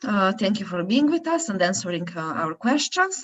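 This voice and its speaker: A somewhat breathy woman with a Slovenian accent. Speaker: event moderator. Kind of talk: event moderation and closing remarks. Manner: hesitant, many fillers.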